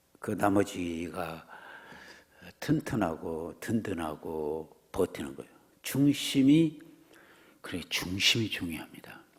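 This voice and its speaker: With a very deep, low pitch, a man talks very slowly and lively in intonation, leaving long, frequent pauses. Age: 60s. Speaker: guest preacher. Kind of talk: sermon. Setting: church.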